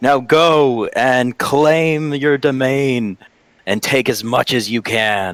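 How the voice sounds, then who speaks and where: Shouting in a put-on character voice, a man uses a medium pitch and a very slow pace. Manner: yelling, commanding.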